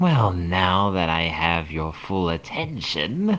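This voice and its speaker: Putting on a character voice, a man cackles in a raspy, very deep, low pitch, moving at a very slow pace with a playful, menacing tone. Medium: read story. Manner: playful, cackling, menacing.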